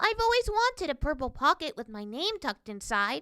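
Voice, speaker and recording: A woman's put-on character voice, high in pitch with very wide pitch swings, at a fairly quick pace. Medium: read story. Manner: wide-eyed, wondering.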